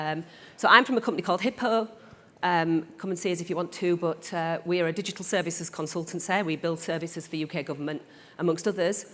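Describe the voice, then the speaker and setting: Woman with a northern English accent, fairly low in pitch with ordinary pitch variation, at a very fast pace on a very clean recording with a silent background. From northern England. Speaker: panel moderator. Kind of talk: panel moderation. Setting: conference stage with audience.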